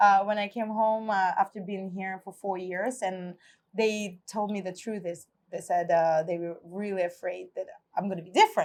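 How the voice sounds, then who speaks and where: A woman with a Russian accent at medium pitch, monotone, flat intonation, and big swings in loudness against a quiet background. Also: moderate pace. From Russia, Novosibirsk, Siberia. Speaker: immigrant guest, bartender. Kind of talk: casual conversational interview over a meal.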